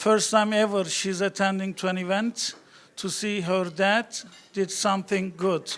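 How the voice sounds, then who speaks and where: In a strong Turkish accent, a man talks at a fairly slow pace. His high pitch stays in a monotone, flat intonation. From Turkey. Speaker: real estate broker, award winner. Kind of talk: award acceptance speech.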